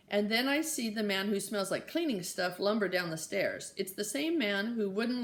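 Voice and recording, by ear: Read aloud in a natural voice. The intonation is lively.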